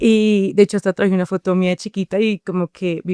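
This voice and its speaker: In a Bogotá accent, a woman speaks at a medium pitch and a moderate pace with flat, monotone intonation and a dark, mellow tone, and the sound is dry and close with no echo. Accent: Bogotá Colombian Spanish. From Colombia, Bogotá. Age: 20s. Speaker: psychologist, podcast guest. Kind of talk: personal testimony interview.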